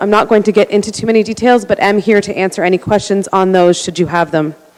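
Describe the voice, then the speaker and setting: Noticeable background noise accompanies a woman speaking with a Canadian accent and fairly even intonation. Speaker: community volunteer. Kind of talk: council deputation. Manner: fast.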